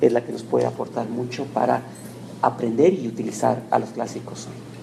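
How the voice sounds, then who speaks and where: Noticeable background noise accompanies the man, who talks at a moderate pace. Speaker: university lecturer. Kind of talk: lecture.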